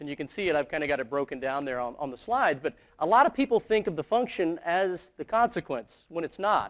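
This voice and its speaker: On a very clean recording with a silent background and a dry, close sound with no echo, a man with an American accent speaks at a very fast pace and a high pitch with very wide pitch swings. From US South, South Carolina. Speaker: professor. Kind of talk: conference presentation. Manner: conversational.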